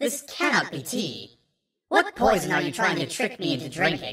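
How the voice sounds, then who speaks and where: The speaker uses a put-on character voice. The pitch sits in the middle range. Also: moderate pace. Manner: suspicious.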